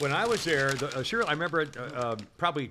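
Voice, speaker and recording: Over noticeable background noise, a man with an American accent talks at a very fast pace. His intonation is lively. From upstate New York. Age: 70s. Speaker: podcast host. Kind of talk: casual chat. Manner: halting, many fillers.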